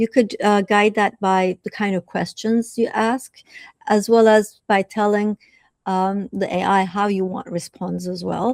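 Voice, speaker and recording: In a Turkish accent, a woman of medium pitch speaks at a fairly slow pace with monotone, flat intonation. The sound is dry and close with no echo, and the recording is very clean with a silent background. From southern Turkey (Adana). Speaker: professor. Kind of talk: interview. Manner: hesitant, with frequent fillers.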